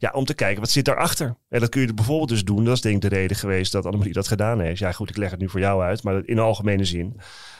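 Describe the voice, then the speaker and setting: A man speaks at a very fast pace with hardly any pauses, his fairly low pitch moving with ordinary variation, on a very clean recording with a silent background. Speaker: criminal defense lawyer, co-host. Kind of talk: podcast conversation.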